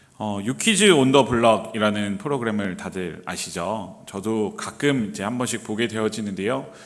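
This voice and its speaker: A man talks at a moderate pace with hardly any pauses and ordinary pitch variation. There is noticeable background noise. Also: fairly low pitch for a man. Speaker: pastor. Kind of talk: sermon. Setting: church. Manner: hesitant, many fillers.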